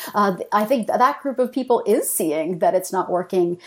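An unremarkable speaking voice comes through with a Canadian accent. The pace is fairly quick and the intonation lively. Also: woman. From Canada. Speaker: political philosopher, professor. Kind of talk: interview discussion.

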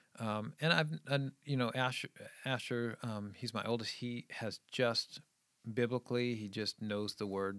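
A man with an American accent and a medium pitch speaks at a fairly slow pace with fairly even intonation. The recording is very clean, with a silent background. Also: dry, close sound with no echo. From New England, outside Boston. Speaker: children's ministry leader and parent. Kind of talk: casual chat.

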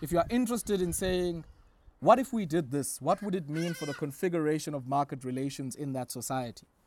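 Through noticeable background noise, a man with a fairly high pitch talks at a very fast pace with lively intonation. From South Africa, Eastern Cape (Queenstown). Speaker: author. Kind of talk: interview.

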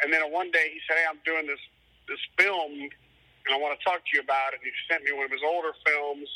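A man with a Cajun accent talks at a fairly quick pace in a fairly high pitch, his intonation monotone and flat, the sound dry and close with no echo. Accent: Cajun Louisiana English. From Louisiana, Cajun. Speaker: musician. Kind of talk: casual interview.

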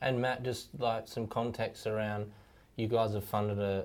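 An Australian accent marks this man's speech, delivered with monotone, flat intonation. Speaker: podcast host. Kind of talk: interview.

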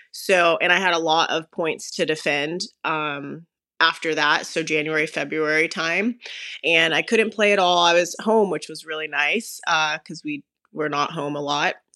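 With an American accent, a woman speaks in a very deep, low pitch. Her tone is bright and sharp, and her intonation fairly even. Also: moderate pace, very clean recording, silent background. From US, Las Vegas, Nevada. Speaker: professional tennis player. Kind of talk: casual chat.

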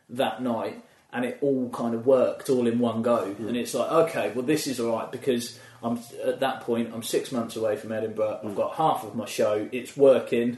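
Noticeable background noise sits behind a man speaking at a moderate pace with medium pitch and fairly even intonation. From England, Milton Keynes area. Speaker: stand-up comedian. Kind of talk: casual chat.

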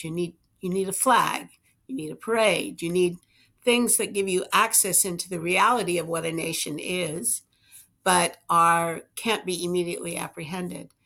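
Speaking at a fairly slow pace with vocal fry, a woman of medium pitch uses ordinary pitch variation on a very clean recording with a silent background. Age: 60s. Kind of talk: interview. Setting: studio.

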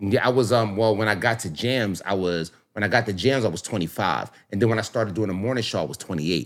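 Very fast and with hardly any pauses, a man with a fairly low pitch speaks in an animated tone with ordinary pitch variation, recorded very cleanly with a silent background. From Philadelphia, US. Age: 40s. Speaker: radio personality. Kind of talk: casual chat.

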